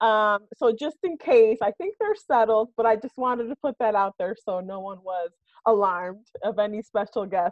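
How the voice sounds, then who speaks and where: An upbeat woman's voice, fairly high in pitch, at a moderate pace with ordinary pitch variation and a dry, close sound with no echo. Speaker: human resources executive. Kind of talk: workshop presentation. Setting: video call from home. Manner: loud.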